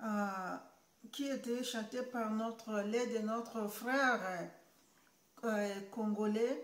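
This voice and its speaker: Fairly high-pitched and flat in a monotone, a woman speaks at a very slow pace with long, frequent pauses. Audible room echo surrounds her voice. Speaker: YouTuber. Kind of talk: vlog monologue. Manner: halting, many hesitations.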